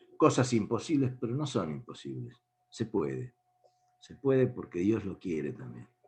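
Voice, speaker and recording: A man talks at a very slow pace. His medium-pitched voice carries vocal fry. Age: 70s. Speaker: speaker on faith and politics. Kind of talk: talk to an online meeting.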